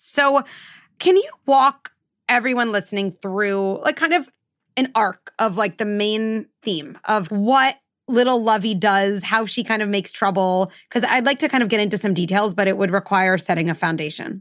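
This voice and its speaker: On a very clean recording with a silent background, a woman with a normal speaking voice talks at a moderate pace, her pitch fairly high and her intonation lively. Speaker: podcast host, psychologist. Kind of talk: interview conversation.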